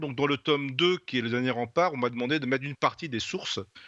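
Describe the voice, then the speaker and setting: At a very fast pace, a man speaks in a bright, sharp tone of medium pitch with ordinary pitch variation. The sound is dry and close with no echo, and the background is quiet. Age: 60s. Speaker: novelist. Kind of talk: interview. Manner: halting, many hesitations.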